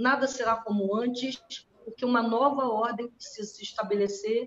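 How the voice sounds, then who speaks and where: This woman talks at a moderate pace in a fairly high pitch, her intonation fairly even. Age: 60s. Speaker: astrologer. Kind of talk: casual chat. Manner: halting.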